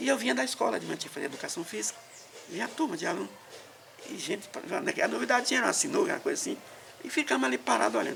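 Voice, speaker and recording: A man talks at a very fast pace, and noticeable background noise can be heard behind him. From Maranhão, Brazil. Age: 60s. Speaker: elderly interviewee telling life story. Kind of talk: oral history interview. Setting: at his home.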